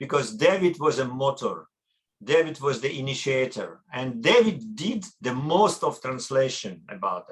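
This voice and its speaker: In a Russian accent, a man with a fairly high pitch speaks at a moderate pace, somewhat breathy, with lively intonation and big swings in loudness. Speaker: academic researcher and translator. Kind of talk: conference talk. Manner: halting.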